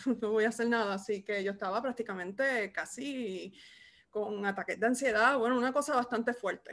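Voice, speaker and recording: Speaking with a Puerto Rican accent, a woman keeps a moderate pace. Her pitch is fairly high, with ordinary pitch variation. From Puerto Rico. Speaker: podcast host, archivist; podcast co-host. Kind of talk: casual interview. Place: home room. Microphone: video call.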